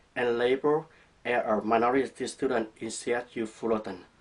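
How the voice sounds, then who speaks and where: Recorded against a quiet background, a man speaks with a Vietnamese accent. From southern Vietnam, Saigon. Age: 30s. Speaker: student. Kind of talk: class presentation. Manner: read from a script.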